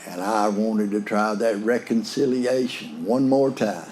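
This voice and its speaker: Fairly low-pitched male speech in a West Texas accent, with fairly even intonation and audible room echo. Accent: West Texas drawl. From West Texas / eastern New Mexico. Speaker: AA speaker. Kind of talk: recovery talk testimony. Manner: folksy, conversational.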